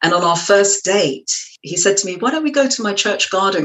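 A woman with an English accent talks at a very fast pace, her pitch in the medium range. Her intonation is lively. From West London, England. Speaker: trance medium and yoga teacher. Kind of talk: interview conversation. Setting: studio.

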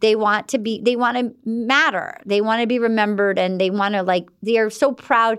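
At a moderate pace and with hardly any pauses, a woman speaks in an animated tone with a fairly high pitch. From US Northeast, Rhode Island. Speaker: actress and comedian. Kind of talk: casual chat.

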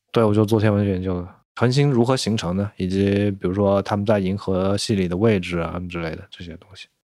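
A man with a dark, mellow tone and fairly low pitch speaks at a fairly quick pace, with big swings in loudness. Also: fairly even intonation. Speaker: former astronomer turned home renovator. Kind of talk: casual chat.

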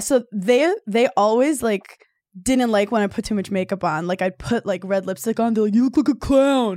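In a very clean recording with a silent background and a dry, close sound with no echo, a woman with an American accent speaks at a fairly high pitch in a dark, mellow tone. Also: ordinary pitch variation, fairly quick pace. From New York, Brooklyn. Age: 30s. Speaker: comedian. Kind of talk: casual chat.

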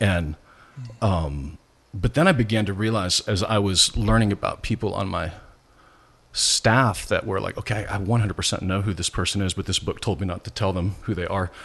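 In an American accent, a man talks at a moderate pace and a fairly low pitch with ordinary pitch variation, an ordinary speaking voice against a quiet background. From US Midwest, rural Nebraska. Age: 50s. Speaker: pastor. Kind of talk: casual interview.

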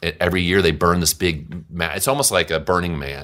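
Over a silent background in a very clean recording, a man speaks very fast in a very deep, low pitch, his tone bright and sharp with ordinary pitch variation. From US South, Louisiana (Monroe). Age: 50s. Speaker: musician. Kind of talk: casual chat.

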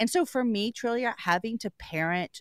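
A plain, everyday voice moves at a moderate pace with lively intonation. The recording is very clean and dry, close with no echo, over a silent background. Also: woman. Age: 40s. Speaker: podcast host. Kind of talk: radio interview.

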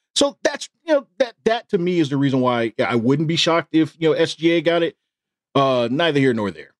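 This man has an unremarkable speaking voice, pitched fairly high. He talks at a fairly quick pace with lively intonation. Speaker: podcast co-host. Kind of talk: casual sports chat.

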